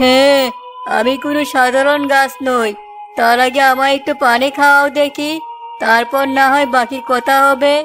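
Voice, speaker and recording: A cartoonish character voice that sounds female, high-pitched, and at a moderate pace plays over clear music in the background. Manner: commanding, wise-sounding.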